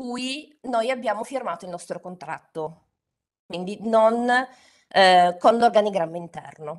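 A woman with a Turin accent, fairly high pitch, lively intonation and a fairly slow pace, against a quiet background. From Turin, northern Italy; northern Italy. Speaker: LinkedIn trainer and author. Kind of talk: webinar talk. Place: home room. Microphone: studio mic.

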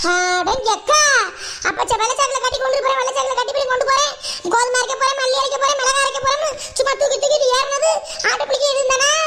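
A female-sounding cartoonish character voice, extremely high in pitch, at a moderate pace over noticeable background noise. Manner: chatty, grumbling.

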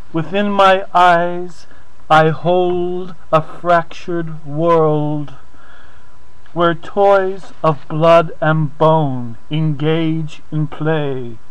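Very slowly, a man talks with fairly even intonation. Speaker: poet reading own work. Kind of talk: reading aloud a gothic prose poem, theatrical and dramatic. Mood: dark, theatrical, eerie. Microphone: webcam.

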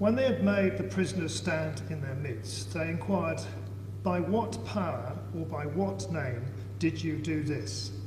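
Over noticeable background noise, a man talks at a fairly slow pace with a fairly low pitch and ordinary pitch variation. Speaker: lay scripture reader in church. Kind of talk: reading scripture aloud. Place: church. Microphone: camera far.

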